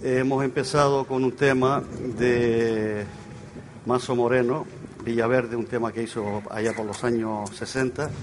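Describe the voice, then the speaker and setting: With noticeable background noise and audible room echo, a man speaks fairly slowly at a medium pitch in a monotone, flat intonation. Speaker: folk group leader and singer. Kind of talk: live concert stage announcements. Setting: outdoor stage in a town square with audience.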